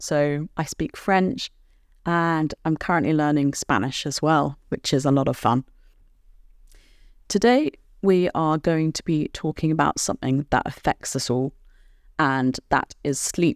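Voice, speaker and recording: A woman with a British accent speaks with a very deep, low pitch and ordinary pitch variation, at a fairly slow pace with long, frequent pauses. The recording is very clean with a silent background, and the sound is dry and close with no echo. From Britain. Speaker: podcast host and English teacher. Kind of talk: educational podcast for language learners. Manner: clear, measured pace for learners.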